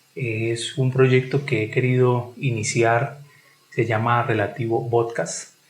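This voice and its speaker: Somewhat breathy and at a medium pitch, a man talks at a very slow pace. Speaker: podcast host. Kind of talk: podcast host interview.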